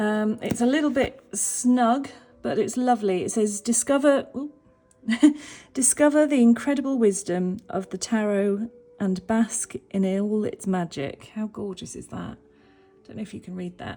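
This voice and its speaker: This woman's voice is fairly high, with a dark, mellow tone and ordinary pitch variation. She speaks at a fairly slow pace, her loudness swinging widely. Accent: British. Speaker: tarot reader and holistic life coach. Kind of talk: casual deck walkthrough to camera. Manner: animated.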